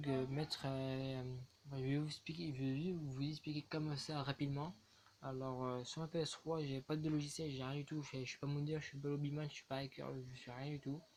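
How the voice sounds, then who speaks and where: Soft-spoken and mumbling, a man with a fairly high pitch talks at a moderate pace in a monotone, flat intonation. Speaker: gaming and fitness youtuber. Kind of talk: casual video talk to viewers.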